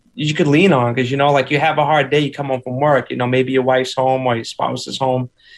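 Medium in pitch, a man rattles along at a very fast pace. His intonation stays monotone and flat. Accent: Boston. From Boston. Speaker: musician and teacher. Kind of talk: casual interview chat. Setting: video call.

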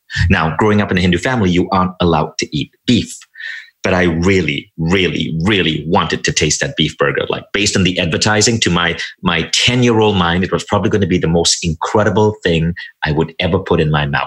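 With a Malaysian accent, a man speaks at a fairly quick pace in a very deep, low pitch. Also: ordinary pitch variation, very even loudness. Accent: Americanized Malaysian English. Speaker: entrepreneur and author. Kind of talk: interview conversation.

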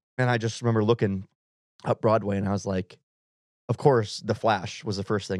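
A man with an American accent and a plain, everyday voice speaks fairly quickly at a fairly low pitch, with fairly even intonation. The recording is very clean, with a silent background and a dry, close sound with no echo. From Wisconsin. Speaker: country singer-songwriter. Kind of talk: casual chat. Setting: studio.

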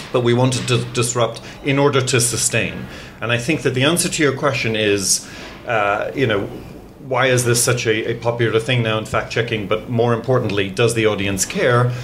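Amid noticeable background noise and audible room echo, a man speaks at a moderate pace with medium pitch, fairly even intonation and very even loudness. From Ireland. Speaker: news editor. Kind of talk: interview. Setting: studio.

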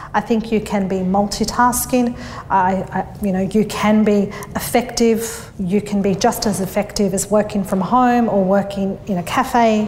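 Over noticeable background noise, a woman with an Australian accent talks at a moderate pace in a medium pitch with fairly even intonation. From Australia, northwest Sydney. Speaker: bookkeeping business owner. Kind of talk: interview. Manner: hesitant, many fillers.

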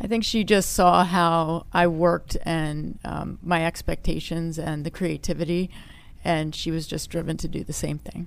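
Speaking at a moderate pace with fairly even intonation, this is a normal speaking voice with an American accent. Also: woman, fairly low pitch for a woman. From Philadelphia area, US. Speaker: agency founder and executive. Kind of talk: interview.

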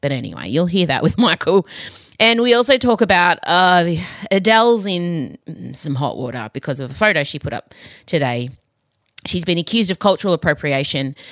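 A woman with an Australian accent, very wide pitch swings, and a dry, close sound with no echo. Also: fairly low pitch for a woman, moderate pace. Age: 40s. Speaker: podcast host. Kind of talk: casual chat. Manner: animated.

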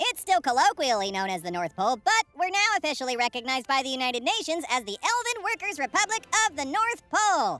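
A put-on character voice, high-pitched with very wide pitch swings, at a very fast pace over faint background music. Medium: audio drama.

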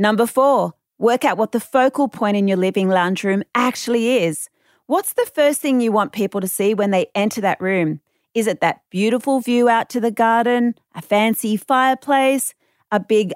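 A woman with an Australian accent at a fairly high pitch and moderate pace, ordinary pitch variation and very even loudness, in a very clean recording with a silent background and a dry, close sound with no echo. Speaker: renovation expert, podcast presenter. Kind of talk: scripted narration.

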